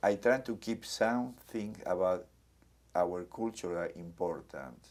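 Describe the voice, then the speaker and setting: A man talks fairly slowly in a Spanish accent. His pitch is fairly low and his intonation lively. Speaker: community center director. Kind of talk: oral history interview.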